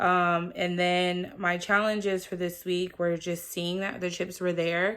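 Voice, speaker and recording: Her intonation is monotone and flat, her pitch fairly low. The woman speaks at a fairly slow pace on a very clean recording with a silent background. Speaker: vlogger. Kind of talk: personal vlog update. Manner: flat, subdued delivery.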